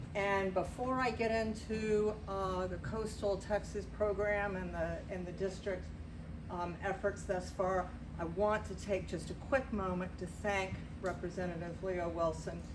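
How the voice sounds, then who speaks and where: Over noticeable background noise and audible room echo, a woman speaks at a fairly slow pace. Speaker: city policy director. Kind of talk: public briefing. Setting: community association meeting. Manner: loud. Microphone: speaking without a microphone.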